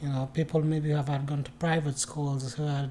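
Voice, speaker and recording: A man speaks in a fairly high, somewhat breathy voice with a dark, mellow tone. His intonation is monotone and flat. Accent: Mauritanian. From Mauritania. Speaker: immigrant sharing life story. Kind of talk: casual chat.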